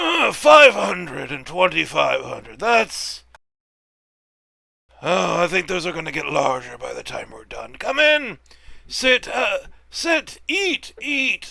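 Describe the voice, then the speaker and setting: A put-on character voice shouts in a raspy tone at a fairly slow pace, with long, frequent pauses. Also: man, extremely high pitch for a man. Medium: actual play. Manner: slow, hospitable.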